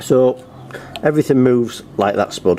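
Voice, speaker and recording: A man speaks over noticeable background noise. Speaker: lawnmower repair youtuber. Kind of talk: tutorial. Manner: fast.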